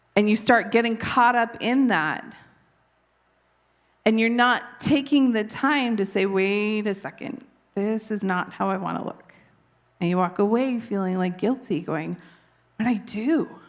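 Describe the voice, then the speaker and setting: Speaking at a fairly slow pace with long, frequent pauses, a woman uses a fairly high pitch and ordinary pitch variation. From Canada. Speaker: preacher. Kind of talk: sermon.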